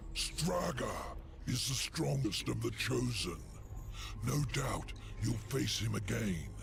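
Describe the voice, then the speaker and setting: A man puts on a character voice with a very deep, low pitch. Loud background noise fills the recording. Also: fairly slow pace. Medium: virtual streamer. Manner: sly, mocking.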